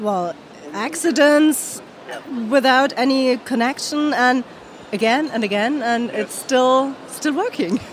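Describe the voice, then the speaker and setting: A woman's high pitch with ordinary variation at a very slow pace, over noticeable background noise. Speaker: interpreter. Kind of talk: interpreting.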